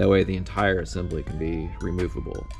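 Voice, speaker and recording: There is a man talking. Quiet music sits faintly behind him. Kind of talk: casual vlog chat. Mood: relaxed, lightly amused. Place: workshop. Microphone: phone near.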